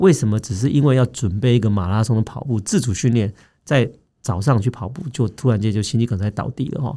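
In a very clean recording with a silent background, a man with a dark, mellow, somewhat breathy voice of medium pitch talks fairly quickly with ordinary pitch variation. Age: 40s. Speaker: doctor, health podcast host. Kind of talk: health education chat.

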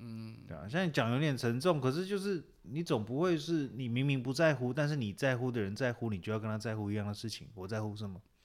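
Speaking at a very fast pace with hardly any pauses, a man uses a medium pitch and lively intonation. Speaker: podcast co-host. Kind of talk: casual chat about referendums. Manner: animated, laughing.

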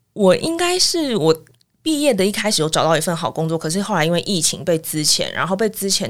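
The woman's intonation is lively. She speaks at a fairly quick pace. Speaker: former international news reporter. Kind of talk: casual interview.

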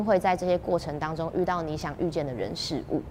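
A woman with a Taiwanese accent speaks at a fairly quick pace with a fairly low pitch, over noticeable background noise. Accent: Taiwanese Mandarin. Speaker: TV host and performer. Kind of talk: interview. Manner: clear articulation.

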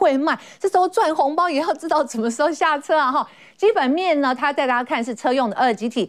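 Pitched high, a woman talks at a fairly quick pace with very wide pitch swings. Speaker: TV finance show host. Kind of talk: TV talk show with market briefing.

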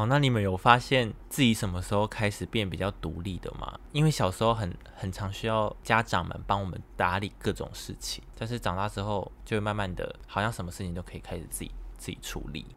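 A man talks at a fairly quick pace with hardly any pauses, in a fairly low pitch with ordinary pitch variation. His loudness swings widely in a normal speaking voice. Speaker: podcast host. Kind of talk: casual chat.

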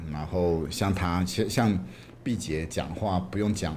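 A man's very deep, low pitch comes with vocal fry and ordinary pitch variation. Audible room echo fills the recording. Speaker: film director. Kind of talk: interview.

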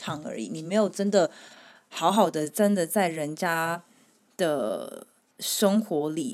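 A woman with an unremarkable speaking voice talks at a fairly slow pace with lively intonation. The recording is very clean, with a silent background. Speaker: returned overseas student. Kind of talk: casual chat.

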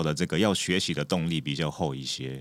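A man on a very clean recording with a silent background. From Japan. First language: Japanese (speaking Chinese). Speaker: actor and author. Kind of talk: casual interview chat.

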